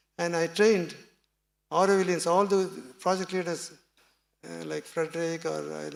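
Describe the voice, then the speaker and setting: A man with a Tamil accent at a moderate pace, with long, frequent pauses and big swings in loudness. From Tamil Nadu, India. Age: 70s. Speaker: seminar speaker. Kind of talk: talk to audience. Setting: small meeting with audience.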